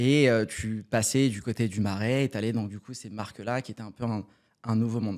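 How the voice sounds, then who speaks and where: A man at medium pitch with fairly even intonation, on a very clean recording with a silent background. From Paris suburbs, France. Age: 30s. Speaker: startup cofounder. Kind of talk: podcast interview. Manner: casual, many fillers.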